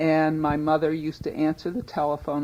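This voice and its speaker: A woman with an American accent has a very deep, low voice and a dark, mellow tone. She speaks at a moderate pace. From US Northeast, Newton, Massachusetts. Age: 50s. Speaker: longtime resident recounting family business. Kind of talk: oral history interview.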